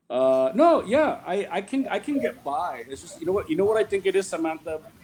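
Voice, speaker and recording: The man's pitch leaps across a very wide range. His speed stays average. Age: 40s. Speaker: writer. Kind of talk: interview.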